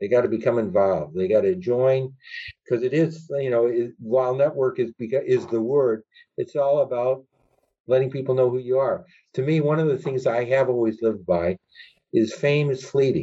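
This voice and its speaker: A man with an unremarkable speaking voice, medium pitch, ordinary pitch variation and a moderate pace. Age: 60s. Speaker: lawyer. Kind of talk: interview.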